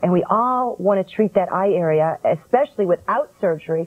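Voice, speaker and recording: Ordinary pitch variation marks this woman's speech at a fairly quick pace. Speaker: skincare product developer. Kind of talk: infomercial interview answer. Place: studio.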